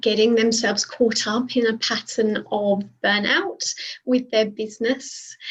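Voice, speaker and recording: With a British accent, a woman talks fairly slowly at a fairly high pitch and with fairly even intonation, against noticeable background noise. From UK. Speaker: burnout and alignment coach. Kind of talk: panel discussion. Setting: video call.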